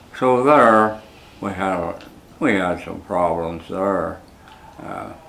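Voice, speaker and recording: A man with an American accent at a fairly low pitch and ordinary pitch variation, a very slow pace, big swings in loudness and noticeable background noise. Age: 80s+. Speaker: war veteran. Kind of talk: interview answer.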